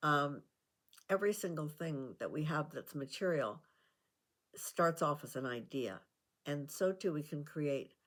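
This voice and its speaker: A woman with a very deep, low pitch speaks at a fairly slow pace with ordinary pitch variation. The recording is very clean, the background silent. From Canada. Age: 80s+. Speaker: self-help vlogger. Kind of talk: casual talk to camera. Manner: hesitant, conversational.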